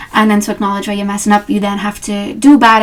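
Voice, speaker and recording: A woman speaks in a fairly high pitch with monotone, flat intonation. Noticeable background noise runs behind her. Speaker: tarot reader. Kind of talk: casual talk to camera. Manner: chatty, rambling.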